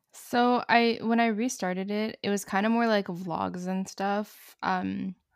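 A woman talks in a plain, everyday voice at a medium pitch, her intonation fairly even. The recording is very clean and dry, close-sounding with no echo and a silent background. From Montreal, Canada. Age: 20s. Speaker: YouTuber and student. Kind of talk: casual chat.

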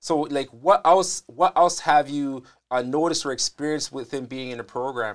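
A man talks at a moderate pace with a fairly high pitch and ordinary pitch variation. The recording is very clean, with a silent background and a dry, close sound with no echo. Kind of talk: casual interview. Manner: animated, frequent interjections.

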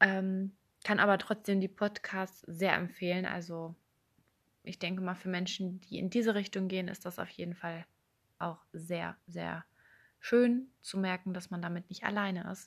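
Monotone, flat intonation from a woman at medium pitch, moderate pace, with big swings in loudness. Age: 20s. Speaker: podcast host. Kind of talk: personal monologue.

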